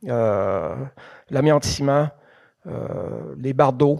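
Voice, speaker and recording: The tone is dark and mellow. It belongs to a man. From Quebec, Thetford Mines area. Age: 60s. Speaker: museum president, geologist giving a lecture. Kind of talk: lecture. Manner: halting, many hesitations.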